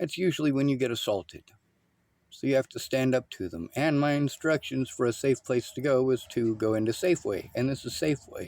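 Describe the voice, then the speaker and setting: Here a man talks at a fairly quick pace with medium pitch and ordinary pitch variation. The sound is dry and close, with no echo. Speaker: video commentator. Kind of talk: commentary over clips. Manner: loud.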